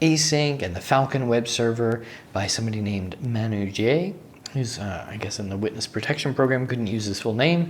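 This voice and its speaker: A man speaks at a moderate pace with ordinary pitch variation. Noticeable background noise sits behind him. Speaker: software developer vlogger. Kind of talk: casual vlog recap. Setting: hotel room. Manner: casual with many fillers.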